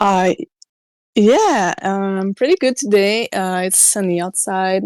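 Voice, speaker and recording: A woman with a French accent speaks at a very slow pace. The recording is very clean, with a silent background and a dry, close sound with no echo. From Quebec, Canada (Montreal). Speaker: podcast guest, band fan. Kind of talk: casual chat. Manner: halting, many fillers.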